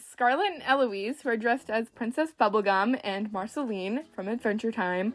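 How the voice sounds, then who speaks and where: A woman speaks at a moderate pace with a fairly high pitch and very wide pitch swings. Music plays in the background. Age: 20s. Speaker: doll collector YouTuber. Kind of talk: casual vlog; voice-over narration. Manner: chatty, rambling.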